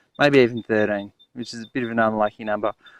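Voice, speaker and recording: In a dry, close sound with no echo, a man talks with an Australian accent. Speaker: gardening presenter. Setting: garden, outdoors.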